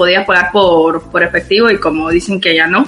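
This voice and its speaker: Noticeable background noise behind a woman's fairly quick speech. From Guatemala. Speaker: guest living abroad. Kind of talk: casual chat.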